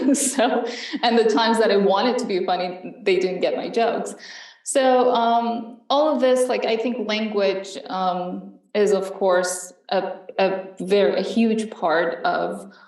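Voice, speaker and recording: A woman with a fairly high pitch talks at a very slow pace, with audible room echo and noticeable background noise. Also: ordinary pitch variation. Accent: Iranian. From Iran. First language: Farsi. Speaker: panelist. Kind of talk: panel discussion. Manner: hesitant, many fillers.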